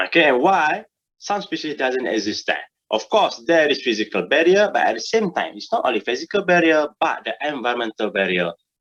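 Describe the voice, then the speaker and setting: Very wide pitch swings and vocal fry mark this voice, which moves at a fairly quick pace. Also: man, fairly high pitch for a man. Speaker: university lecturer. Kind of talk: lecture.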